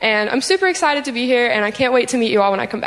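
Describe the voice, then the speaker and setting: Over noticeable background noise, a woman with an American accent talks very fast in a high pitch with lively intonation. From Cincinnati, Ohio. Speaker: church ministry intern. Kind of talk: testimony.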